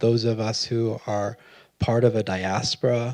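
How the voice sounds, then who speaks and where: The man's voice sits at a medium pitch. His delivery has monotone, flat intonation. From Arizona, Phoenix. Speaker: poet. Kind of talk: onstage conversation. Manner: slow; halting.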